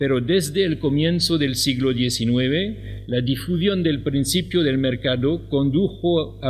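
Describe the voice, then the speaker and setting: Someone with a French accent talks at a fairly slow pace with ordinary pitch variation, with noticeable background noise and audible room echo. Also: man. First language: French (speaking Spanish). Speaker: professor. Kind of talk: lecture. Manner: halting, with many fillers.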